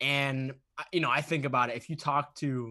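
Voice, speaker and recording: The speaker has an American accent and a bright, sharp tone, talking at a moderate pace over a quiet background. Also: man. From US, Boston, Massachusetts. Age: 20s. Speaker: author and motivational speaker. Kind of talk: interview. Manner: animated.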